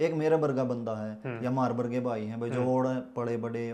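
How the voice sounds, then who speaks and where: This man speaks with a Haryana accent. His pitch is medium and his tone dark and mellow. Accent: Haryanvi. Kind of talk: podcast host questions.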